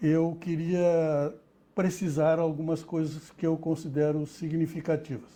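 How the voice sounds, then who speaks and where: Speaking at a very slow pace, the man has a dark, mellow tone and a fairly high pitch. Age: 80s+. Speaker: retired dentistry professor. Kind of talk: interview. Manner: halting, with many repetitions and fillers.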